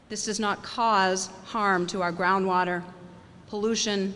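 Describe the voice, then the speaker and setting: A woman at a medium pitch, with audible room echo. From New England (Maine). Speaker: state business chamber representative. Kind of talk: speech to an audience. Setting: event at a farmers market with audience.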